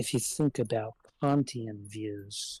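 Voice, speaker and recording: A somewhat breathy voice with fairly even intonation sounds dry and close, with no echo. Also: man. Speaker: philosophy discussant. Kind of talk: casual chat. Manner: halting, many filler words.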